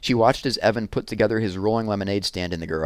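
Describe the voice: The voice is plain reading aloud. Nothing else stands out.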